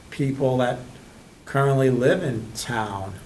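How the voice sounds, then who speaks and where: A man's medium-pitched voice is heard with audible room echo. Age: 60s. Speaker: select board member. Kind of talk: public meeting discussion. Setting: town board meeting.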